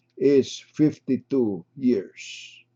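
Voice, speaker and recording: Dark, mellow tone with ordinary pitch variation. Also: man. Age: 80s+. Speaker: retired surgeon giving health talks. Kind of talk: health lecture. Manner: formal.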